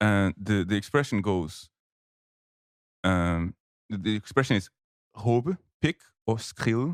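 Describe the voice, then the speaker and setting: A man's fairly low voice in a Portuguese accent, with lively intonation, a very slow pace, and long, frequent pauses, on a very clean recording with a silent background. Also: dry, close sound with no echo. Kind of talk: casual chat.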